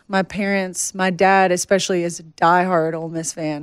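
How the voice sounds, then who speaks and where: A woman with a Tennessee accent speaks with fairly even intonation on a very clean recording with a silent background. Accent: Southern, Tennessee. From Nashville, Tennessee. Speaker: country singer-songwriter. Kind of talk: podcast interview.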